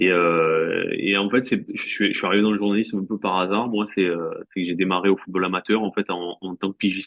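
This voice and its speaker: A man's fairly low, monotone voice with flat intonation, at a fairly quick pace with hardly any pauses. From France, Marseille. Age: 40s. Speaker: sports journalist. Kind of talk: interview. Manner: halting, many fillers and repeats.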